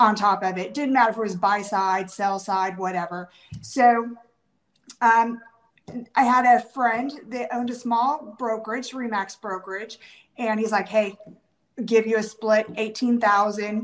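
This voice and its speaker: A woman's fairly high-pitched, a normal speaking voice with an American accent, fairly even intonation and a fairly slow pace. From Washington State. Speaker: real estate agent. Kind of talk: interview.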